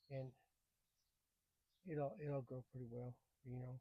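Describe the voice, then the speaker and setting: At a moderate pace, a somewhat breathy voice carries a dark, mellow, relaxed tone. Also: man, dry, close sound with no echo. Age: 70s. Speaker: gardening YouTuber. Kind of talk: casual gardening tutorial. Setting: greenhouse. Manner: halting, repeats words; relaxed, folksy.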